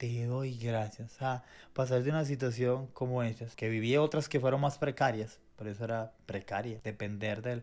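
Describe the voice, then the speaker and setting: Here a man uses a normal speaking voice at a medium pitch and moderate pace, with hardly any pauses. His intonation is fairly even, and the recording is very clean with a silent background. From Venezuela. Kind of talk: faith podcast conversation, testimony.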